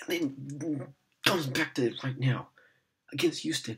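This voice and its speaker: An animated male voice. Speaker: sports fan vlogger. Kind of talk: angry sports rant, ranting at the team's management and players. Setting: casual self-recorded video, unedited. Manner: loud, exasperated, sarcastic, animated. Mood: frustrated, sarcastic. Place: home room. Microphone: earbuds.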